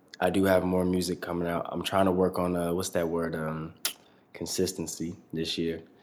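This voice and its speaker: Noticeable background noise surrounds a man with an American accent. His very deep, low voice moves at a moderate pace with monotone, flat intonation. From Atlanta, US South. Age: 20s. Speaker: rapper. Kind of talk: casual chat.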